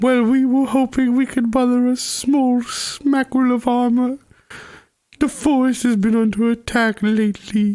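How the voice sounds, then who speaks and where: A fairly high-pitched, female-sounding voice performs a put-on character voice. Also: moderate pace. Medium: actual play. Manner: slow, with thoughtful hums.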